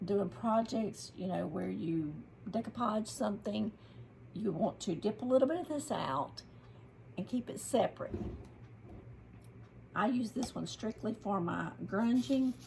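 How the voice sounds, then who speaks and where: With a Southern US accent, a woman speaks at a medium pitch and a fairly slow pace, her intonation lively. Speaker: craft youtuber. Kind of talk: tutorial. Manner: casual, with many fillers.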